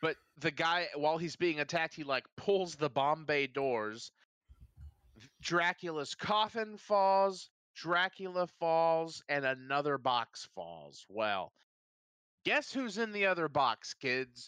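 A man with an American accent, his fairly high, bright, sharp voice full of lively intonation at a very slow pace, in a dry, close sound with no echo. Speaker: podcast host. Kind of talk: casual banter, joking. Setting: live stream. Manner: jokey, does impressions.

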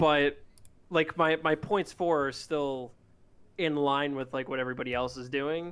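At a moderate pace, a normal speaking voice carries fairly even intonation. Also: man, fairly high pitch for a man. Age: 30s. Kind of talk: casual chat.

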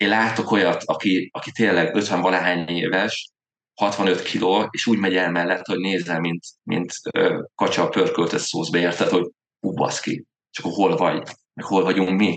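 At a moderate pace, a man speaks with a very deep, low pitch. His pitch varies in an ordinary way. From Hungary, Veszprém. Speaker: amateur triathlete, podcast co-host. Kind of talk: casual chat.

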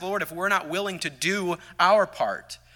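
A man's raised, projected voice, high in pitch, with a bright, sharp tone on a very clean recording over a silent background. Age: 30s. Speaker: Sunday school teacher. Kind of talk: sermon. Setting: church. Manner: halting.

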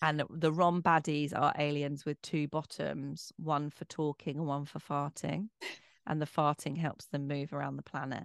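A woman with an English accent speaks at a moderate pace in a very deep, low pitch and a monotone, flat intonation. The sound is dry and close with no echo, over a quiet background. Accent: quite posh English. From Bromley, south-east London, England. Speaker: author, actress and broadcaster. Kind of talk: interview conversation.

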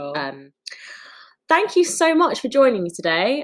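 Speaking at a moderate pace, a woman with a London accent shows very wide pitch swings. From London, Wood Green. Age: young. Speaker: podcast host. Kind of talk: casual chat.

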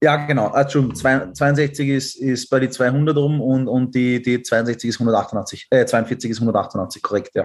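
Very slowly and with hardly any pauses, a man talks in fairly even intonation. His loudness stays very even. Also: medium pitch for a man. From Austria. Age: 20s. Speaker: pilot. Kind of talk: casual chat.

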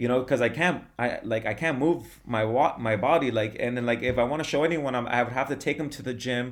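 A man talks fairly quickly at a medium pitch in an unremarkable speaking voice, his pitch varying in an ordinary way. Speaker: former bodybuilder, yoga practitioner and DJ. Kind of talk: casual interview chat. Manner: casual, many filler words.

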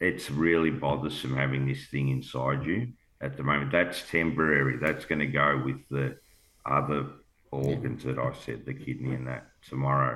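Deep and very low, a man's voice comes with an Australian accent. He shows vocal fry and fairly even intonation. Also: moderate pace. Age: 50s. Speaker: cancer patient sharing his story. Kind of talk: emotional personal testimony.

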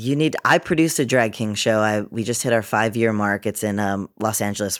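A man with an American accent and an ordinary speaking voice talks at a fairly quick pace in a fairly low pitch with hardly any pauses, on a very clean recording with a silent background. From Massachusetts, Cape Cod. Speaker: actor and producer. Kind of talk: interview.

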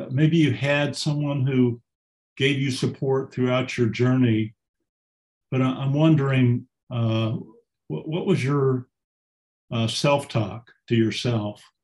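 Somewhat breathy and very slow, a man speaks at a medium pitch with ordinary pitch variation and long, frequent pauses. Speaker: audience participant. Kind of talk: question from audience.

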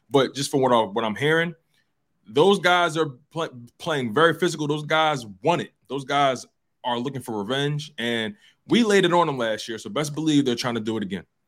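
Recorded very cleanly against a silent background, a man with a plain, everyday voice talks at a moderate pace, pitched fairly high, with lively intonation. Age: 20s. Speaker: show producer. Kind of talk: casual chat.

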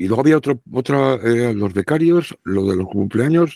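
Dry and close with no echo, a man's dark, mellow tone comes through at a moderate pace. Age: 60s. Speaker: radio broadcaster. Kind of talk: casual chat.

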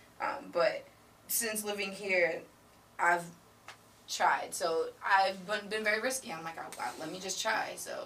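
A woman with an American accent at medium pitch, fairly slow pace and long, frequent pauses, over noticeable background noise. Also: ordinary pitch variation. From Boston. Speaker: podcast guest. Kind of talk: casual chat.

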